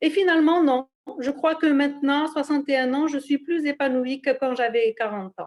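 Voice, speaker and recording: A woman with a high pitch speaks at a moderate pace with ordinary pitch variation. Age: 60s. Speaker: retiree giving a testimonial. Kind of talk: testimony. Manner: halting.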